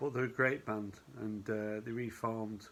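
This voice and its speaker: Fairly even intonation marks a man's medium-pitched delivery. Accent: Northern English. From northern England, Oldham. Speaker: vinyl record collector vlogger. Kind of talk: casual video vlog. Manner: casual, hesitant with fillers.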